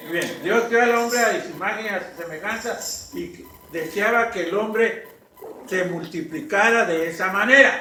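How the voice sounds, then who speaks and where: Speaking in a raised, projected voice at a fairly slow pace, a man with a high pitch and lively intonation is heard with audible room echo and noticeable background noise. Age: 60s. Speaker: pastor. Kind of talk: sermon.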